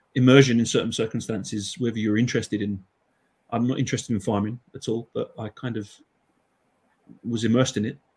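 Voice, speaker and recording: Somewhat breathy and monotone, a man with an English accent speaks very fast at a medium pitch, with long, frequent pauses. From England. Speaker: Icelandic language teacher. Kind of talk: panel discussion.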